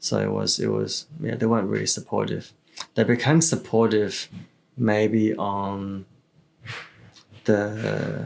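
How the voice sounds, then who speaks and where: A man with an Australian accent speaks at a very slow pace, leaving long, frequent pauses. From Melbourne, Australia (moved from China at six or seven). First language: Chinese. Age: 30s. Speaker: real estate entrepreneur. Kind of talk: casual podcast interview. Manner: casual, many filler words and repetitions.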